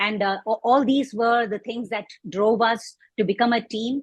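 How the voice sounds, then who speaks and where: Her pace moderate and her intonation fairly even, a woman uses a normal speaking voice pitched fairly high. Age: 60s. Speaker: composting advocate. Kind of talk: interview.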